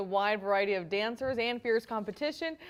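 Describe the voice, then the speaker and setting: On a very clean recording with a silent background, a woman with an American accent speaks with ordinary pitch variation. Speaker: TV news anchor and reporter. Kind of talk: studio news anchor desk read.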